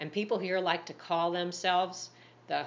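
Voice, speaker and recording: A woman's fairly low-pitched voice. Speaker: English teacher. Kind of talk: casual talk to camera. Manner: clear, slow. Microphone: phone near.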